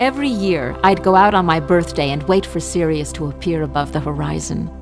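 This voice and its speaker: Music plays in the background as a woman with a warm tone speaks at a moderate pace. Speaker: narrator. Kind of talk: planetarium show narration. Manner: warm, storytelling.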